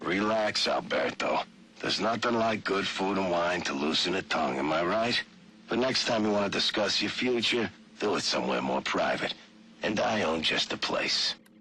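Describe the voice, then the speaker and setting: Over clear background noise, a man uses a raspy put-on character voice, fairly low in pitch, with lively intonation at a moderate pace. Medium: video game. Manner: arrogant.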